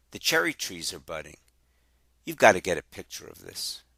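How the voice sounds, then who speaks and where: A gravelly put-on character voice from a man at a fairly quick pace, with big swings in loudness and a dry, close sound with no echo. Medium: read story. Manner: loud, exuberant.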